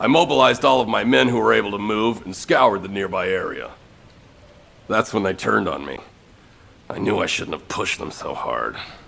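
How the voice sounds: Putting on a character voice, a man speaks at a fairly low pitch with vocal fry, a fairly bright tone and lively intonation. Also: moderate pace.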